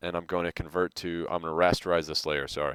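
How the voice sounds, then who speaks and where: A man talks at a very fast pace with a very deep, low pitch. The recording is very clean with a silent background, and the sound is dry and close with no echo. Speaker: design teacher. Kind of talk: tutorial. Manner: casual.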